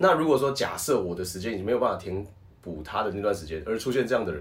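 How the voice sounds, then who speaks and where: A man's voice with vocal fry and very wide pitch swings, with audible room echo. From Taiwan. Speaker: professional wrestler and voice actor. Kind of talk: casual chat.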